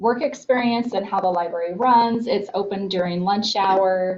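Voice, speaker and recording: A woman's medium-pitched voice, fairly even in intonation, at a fairly slow pace. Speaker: school board member. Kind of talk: board meeting report. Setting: public board meeting. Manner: loud.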